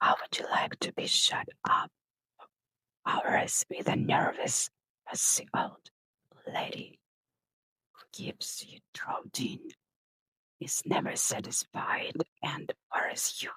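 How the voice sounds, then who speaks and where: The speaker talks in a whisper, very slowly. Pauses are long and frequent. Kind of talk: ASMR whispered book reading. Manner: whispered.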